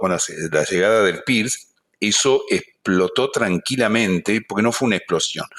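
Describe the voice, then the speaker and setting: In an Argentine accent, a man talks at a fairly low pitch and a moderate pace. Pitch variation is ordinary, on a very clean recording with a silent background. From Argentina, Buenos Aires. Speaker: veterinary professor. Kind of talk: interview.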